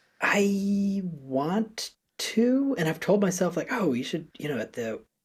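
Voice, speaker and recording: A high-pitched male voice in an American accent, with very wide pitch swings. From US Northeast, Connecticut. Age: 20s. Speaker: education founder, podcast guest. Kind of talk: casual interview. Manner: halting, many fillers.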